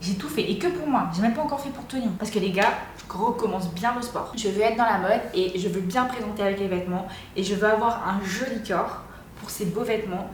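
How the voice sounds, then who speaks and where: An animated woman at a medium pitch and fairly quick pace, with ordinary pitch variation, audible room echo, and noticeable background noise. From Réunion. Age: 20s. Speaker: vlogger. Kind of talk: casual vlog talk.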